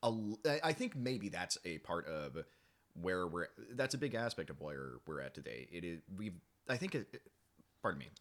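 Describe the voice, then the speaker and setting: A man with a very deep, low voice and vocal fry speaks at a moderate pace. His pitch swings very widely, broken by long, frequent pauses. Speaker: musician. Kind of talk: casual chat. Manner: halting, stammering.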